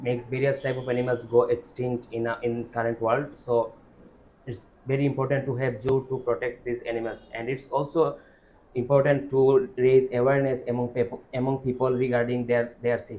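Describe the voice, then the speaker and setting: A man's somewhat breathy voice at medium pitch, fairly quick, with monotone, flat intonation. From Bangladesh. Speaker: IELTS test candidate, student. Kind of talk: speaking exam answer. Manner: halting, many self-corrections.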